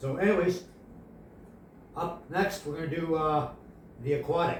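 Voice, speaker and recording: Amid noticeable background noise and audible room echo, a man mumbles with a high pitch and fairly even intonation. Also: moderate pace. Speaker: painting instructor. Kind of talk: tutorial. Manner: mumbling; halting.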